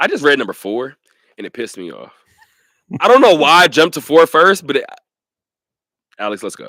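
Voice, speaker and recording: Animated and fairly quick, a man speaks in a fairly high, bright, sharp voice with vocal fry, very wide pitch swings, big swings in loudness and long, frequent pauses. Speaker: sports radio host. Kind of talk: casual chat. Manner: fast.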